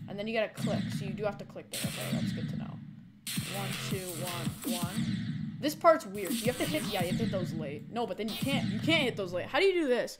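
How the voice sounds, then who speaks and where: Someone talks at a very fast pace with music in the background. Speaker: streamer playing a game. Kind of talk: live gameplay commentary. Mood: focused, mildly frustrated.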